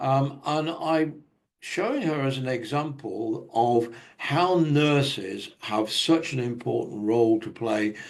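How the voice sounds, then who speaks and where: Speaking at a fairly slow pace with a British accent, a man uses a medium pitch and ordinary pitch variation. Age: 70s. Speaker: conference speaker on technology. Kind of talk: conference presentation.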